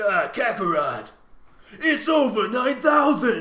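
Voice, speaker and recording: In a put-on character voice, a man speaks raised and projected, extremely high-pitched, strained and gruff. His pace is fairly slow. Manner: menacing, declaiming.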